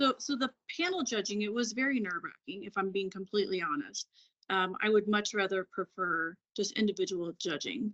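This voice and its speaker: Lively in intonation, a woman talks at medium pitch in a plain, everyday voice. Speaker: former pageant titleholder. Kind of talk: interview.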